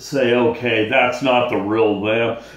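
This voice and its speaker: A man talks with ordinary pitch variation amid audible room echo. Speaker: vlogger talking about bipolar. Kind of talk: angry rant. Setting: solo video at home. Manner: irritated, worked-up, venting; blunt, casual, exasperated. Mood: frustrated, ranting, weary. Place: home room. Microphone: phone near.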